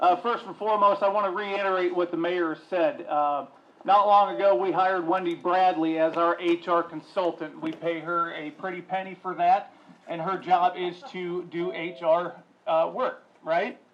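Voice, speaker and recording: Loud and high-pitched, a man speaks with fairly even intonation over noticeable background noise. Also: moderate pace. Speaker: city council member. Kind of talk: public meeting remarks. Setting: council chamber with audience.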